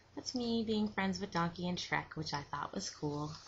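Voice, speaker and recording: A soft-spoken voice with lively intonation. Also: woman. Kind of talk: soft-spoken ASMR show and tell. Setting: webcam recording.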